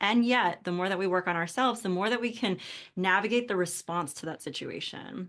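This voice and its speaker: A woman with an ordinary speaking voice and an American accent talks at a moderate pace and medium pitch. Her pitch variation is ordinary, and the background is quiet. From United States. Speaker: podcast host and coach. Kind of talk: casual interview chat.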